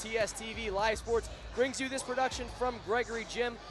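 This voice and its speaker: With music in the background, a man speaks at a moderate pace in an extremely high, monotone voice with flat intonation. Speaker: sports play-by-play announcer. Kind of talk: sports broadcast opening intro.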